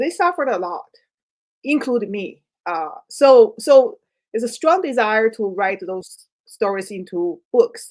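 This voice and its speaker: Speaking at a fairly slow pace, a woman with a fairly high pitch swings very widely in both pitch and loudness. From China. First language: Chinese. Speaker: writer. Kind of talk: interview. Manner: halting.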